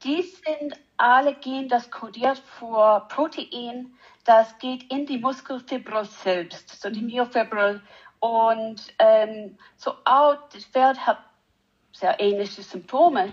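In an English accent, the speaker goes at a very slow pace with ordinary pitch variation and big swings in loudness against a quiet background. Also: woman. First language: English (speaking German). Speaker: animal geneticist. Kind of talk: interview. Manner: halting, hesitant non-native German.

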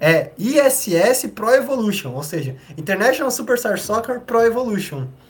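Over noticeable background noise, a man speaks at a moderate pace with an extremely high pitch and very wide pitch swings. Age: 20s. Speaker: podcast host, historian. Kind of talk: casual chat.

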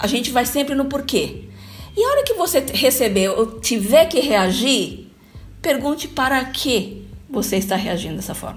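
With lively intonation, a woman talks over noticeable background noise. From Brazil, Bauru (São Paulo state). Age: 50s. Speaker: corporate trainer and HR consultant. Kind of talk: radio talk show interview. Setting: radio studio.

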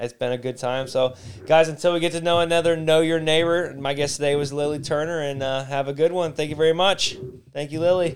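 The speaker has an American accent, a fairly quick pace and fairly even intonation. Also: man, fairly high pitch for a man. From Detroit. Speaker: podcast host. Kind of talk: casual chat.

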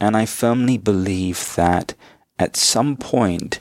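Recorded very cleanly against a silent background with a dry, close sound and no echo, a man speaks in a plain, everyday voice at a fairly slow pace, his pitch fairly low with ordinary pitch variation. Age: 30s. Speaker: spiritual teacher. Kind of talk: interview.

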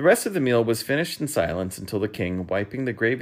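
This is plain reading aloud, and the intonation is lively.

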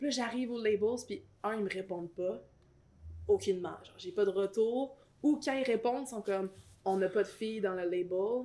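A woman with a Quebec accent and a dark, mellow tone speaks at a moderate pace in a fairly high pitch, with ordinary pitch variation, big swings in loudness and long, frequent pauses. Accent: Québécois French. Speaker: rapper and singer. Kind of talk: casual interview chat.

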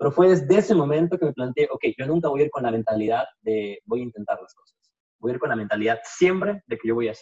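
This man talks very fast in a fairly high voice. His pitch swings very widely and his loudness rises and falls sharply. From Peru, Puno. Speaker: sales professional. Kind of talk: interview.

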